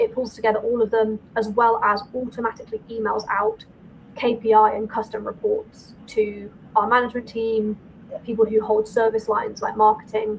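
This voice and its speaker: A woman with a northern English accent and a fairly high pitch speaks at a moderate pace in a monotone, flat intonation against noticeable background noise. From northern England. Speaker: accountant and firm owner. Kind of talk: podcast interview.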